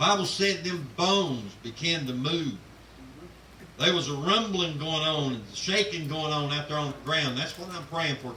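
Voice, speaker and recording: A man's voice at a fairly high pitch, with ordinary pitch variation, a moderate pace and noticeable background noise. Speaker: pastor. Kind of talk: sermon / church announcement to a congregation. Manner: preacherly, emphatic.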